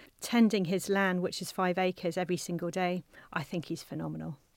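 Recorded very cleanly against a silent background, with a dry, close sound and no echo, a woman speaks in a southern English accent at a medium pitch. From South Coast of England. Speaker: management consultant. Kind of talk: interview. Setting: studio.

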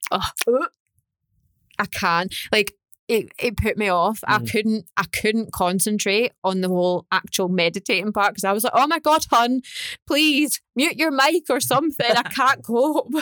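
A woman speaks at a fairly slow pace in a plain, everyday voice, pitched fairly high, with lively intonation. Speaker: podcast co-host. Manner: conversational.

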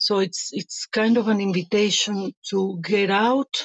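A woman speaks very slowly in a Spanish accent. Her medium-pitched voice has fairly even intonation, recorded dry and close with no echo. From Venezuela. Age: 50s. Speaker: life coach. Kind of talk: interview.

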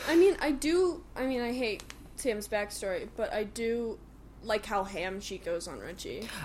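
A woman speaks loudly. Her pitch swings very widely. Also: fairly high pitch for a woman, fairly slow pace. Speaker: movie podcast co-host. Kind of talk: casual chat.

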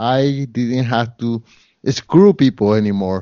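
Someone speaks at a fairly slow pace with a Spanish accent. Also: man. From Colombia. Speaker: photographer, real estate investor and podcaster. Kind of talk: interview. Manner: halting.

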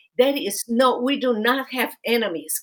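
A woman speaks at a very slow pace. Her pitch is fairly high. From Romania. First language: Romanian. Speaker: podcast host, lawyer and author. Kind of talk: interview podcast.

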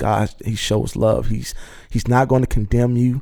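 With an American accent, a man speaks at a moderate pace in a dark, mellow tone and a flat, monotone delivery. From Virginia, Norfolk. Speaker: musician and motivational speaker. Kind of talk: interview testimony. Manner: halting.

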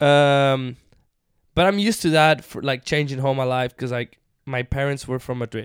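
On a dry, close recording with no echo, a man with a fairly high pitch talks at a moderate pace with ordinary pitch variation. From southern Spain. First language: Spanish. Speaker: musician. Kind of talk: casual chat. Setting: studio. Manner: animated.

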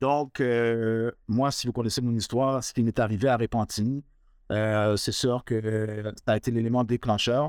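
The delivery is fairly slow, with monotone, flat intonation. It comes through a very clean recording with a silent background and a dry, close sound with no echo. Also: man, medium pitch for a man. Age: 40s. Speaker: mortgage broker, victim of racial profiling. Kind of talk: testimony.

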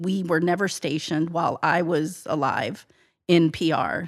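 A woman speaks in a normal speaking voice, fairly low-pitched with ordinary pitch variation, on a very clean recording with a silent background. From US military family, moved around; Texas before Atlanta. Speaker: podcast guest. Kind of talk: interview conversation.

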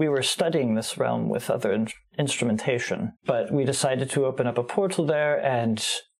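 A natural voice reading aloud

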